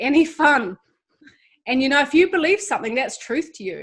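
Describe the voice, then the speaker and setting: A woman with a New Zealand accent talks at a fairly quick pace. Her intonation is lively. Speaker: ministry founder, guest. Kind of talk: testimony. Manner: hesitant fillers.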